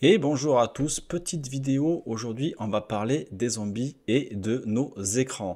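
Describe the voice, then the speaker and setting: A man speaks at a very slow pace with hardly any pauses, using a medium pitch and ordinary pitch variation, on a very clean recording with a silent background. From southwest France. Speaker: YouTuber, gaming channel host. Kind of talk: casual video commentary. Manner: hesitant, many fillers.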